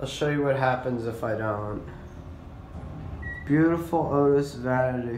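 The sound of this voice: In a room with audible echo, a man speaks slowly at medium pitch, with ordinary pitch variation and a slightly mellow tone.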